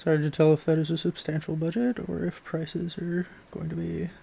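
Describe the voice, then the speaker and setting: Soft-spoken and fairly high-pitched, this man has a dark, mellow tone with big swings in loudness. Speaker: video game streamer. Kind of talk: casual gameplay commentary.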